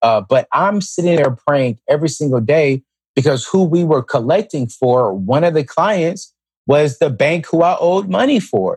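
An unremarkable speaking voice at a moderate pace, with lively intonation, very even loudness, and a dry, close sound with no echo. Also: man, fairly high pitch for a man. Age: 30s. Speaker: author and speaker on personal finance. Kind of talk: interview.

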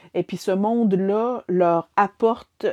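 A woman speaks very slowly in a Quebec accent, her pitch medium and her tone dark and mellow. The sound is dry and close with no echo, over a quiet background. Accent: Québécois French. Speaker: book reviewer. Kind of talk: casual chat. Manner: halting.

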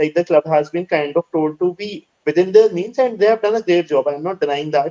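A man with an Indian accent, a high pitch, a dark, mellow tone, ordinary pitch variation and a fairly quick pace, in a dry, close sound with no echo. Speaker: podcast co-host. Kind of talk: interview.

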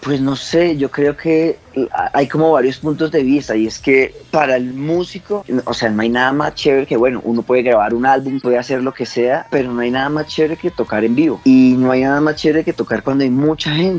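The speech has ordinary pitch variation, with noticeable noise in the background. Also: man, medium pitch for a man, fairly quick pace. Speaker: lead singer of a local band. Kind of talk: casual interview.

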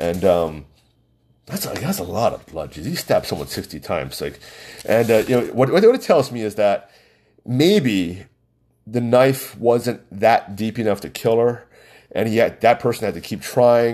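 A man's fairly slow, medium-pitched voice with a dark, mellow tone, vocal fry, and big swings in loudness, in a very clean recording over a silent background. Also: lively intonation. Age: 40s. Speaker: podcast host. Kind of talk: casual monologue. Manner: halting.

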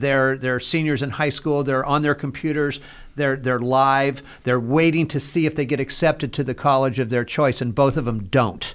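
A man talks in a normal speaking voice at a fairly high pitch. His intonation is fairly even and his pace moderate. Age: 60s. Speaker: nonprofit founder and podcast host in addiction recovery. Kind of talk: casual interview conversation.

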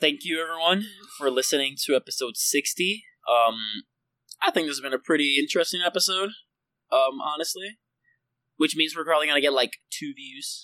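With a Puerto Rican accent, a man talks at a fairly quick pace but with long, frequent pauses, his fairly high pitch showing ordinary variation in a bright, sharp tone, the sound dry and close with no echo. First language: Spanish. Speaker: podcast co-host. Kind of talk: casual chat.

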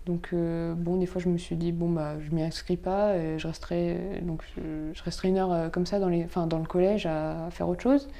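A woman of fairly low pitch talks at a moderate pace in a dark, mellow tone with fairly even intonation. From Provence, France. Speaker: podcast guest. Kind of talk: interview. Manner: halting.

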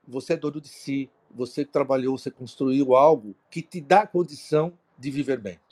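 A man speaks at a moderate pace with a fairly high pitch and lively intonation. The sound is dry and close, with no echo. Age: 60s. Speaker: retired auto industry executive. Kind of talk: live-streamed panel talk. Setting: online live broadcast. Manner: hesitant, many fillers.

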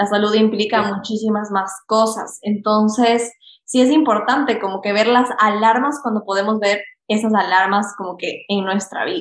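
The delivery has a moderate pace and fairly even intonation. It is an ordinary speaking voice. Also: woman, fairly high pitch for a woman. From Ecuador. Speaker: health coach and podcast host. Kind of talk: casual interview chat.

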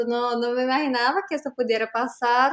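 A woman speaks with a Portuguese accent. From Brazil. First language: Portuguese (speaking Spanish). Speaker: language teacher and school founder. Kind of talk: interview.

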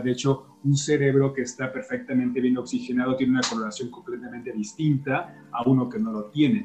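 Noticeable background noise sits behind a man speaking at a moderate pace with hardly any pauses. His pitch is medium, with ordinary pitch variation. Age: 40s. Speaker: health podcaster. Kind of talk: interview. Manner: hesitant.

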